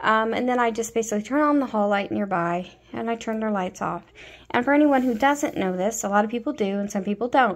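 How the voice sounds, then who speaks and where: A woman at a fairly quick pace, with ordinary pitch variation and a quiet background. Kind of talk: casual vlog chat. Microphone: phone near.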